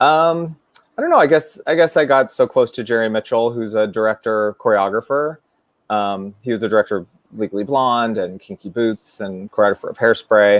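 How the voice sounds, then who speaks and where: In an American accent, the speaker talks at a fairly quick pace with ordinary pitch variation and an ordinary speaking voice. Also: man, medium pitch for a man. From US West Coast, San Francisco. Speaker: Broadway performer and director. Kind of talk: casual chat.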